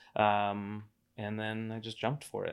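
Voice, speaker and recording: A man speaks with an American accent and a fairly low pitch. His delivery is monotone and flat, on a very clean recording with a silent background. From Florida, Cocoa Beach area. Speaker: IT professional and business buyer. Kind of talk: casual interview.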